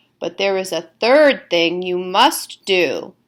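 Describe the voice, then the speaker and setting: A woman puts on a character voice with lively intonation and a medium pitch. She speaks at a fairly slow pace. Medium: read story. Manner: warm, gently instructive.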